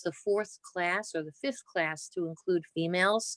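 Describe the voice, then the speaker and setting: In a New Jersey accent, a woman speaks at a moderate pace. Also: dry, close sound with no echo. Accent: Jersey City. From New Jersey, Jersey City. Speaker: cancer surgeon. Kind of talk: oral history interview.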